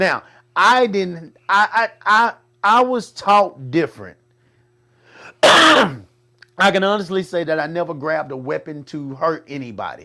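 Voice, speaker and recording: A loud, high-pitched man at a fairly slow pace, with lively intonation and an animated, bright, sharp tone. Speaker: talk show host. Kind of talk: casual chat.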